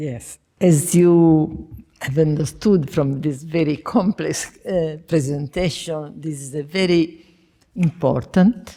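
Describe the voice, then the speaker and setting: A woman with an Italian accent, a very deep, low pitch and a dark, mellow tone at a very slow pace. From Italy. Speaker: discussant. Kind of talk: academic panel discussion. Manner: halting.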